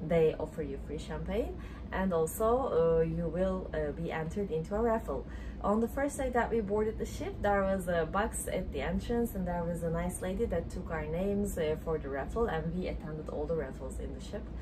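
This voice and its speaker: Noticeable background noise is heard throughout. Over it, a woman talks fairly quickly. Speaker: travel vlogger. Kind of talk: casual vlog chat. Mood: relaxed, cheerful. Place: home room. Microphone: phone near.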